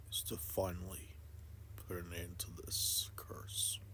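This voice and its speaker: A put-on character voice moves at a fairly slow pace, with clear background noise behind it. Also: man. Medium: solo performance. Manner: determined.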